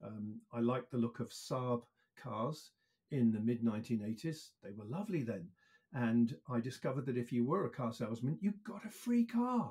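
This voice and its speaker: A man talks at a moderate pace in a dark, mellow tone. His voice is somewhat breathy, with ordinary pitch variation. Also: medium pitch for a man. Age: 60s. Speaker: EV industry consultant. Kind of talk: interview.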